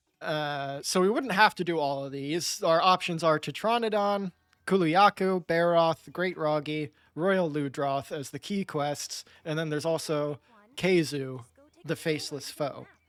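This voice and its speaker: A man with a normal speaking voice talks at a fairly slow pace, his fairly high pitch showing ordinary pitch variation, in a dry, close sound with no echo. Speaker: gaming video creator. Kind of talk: casual gameplay commentary.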